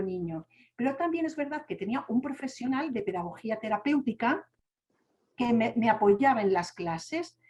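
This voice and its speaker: A woman with a Spanish accent speaks at a moderate pace in a high pitch, her tone dark and mellow and her pitch swinging very widely. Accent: Spanish (Spain). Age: young. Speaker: deafblind speaker sharing her story. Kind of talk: testimony.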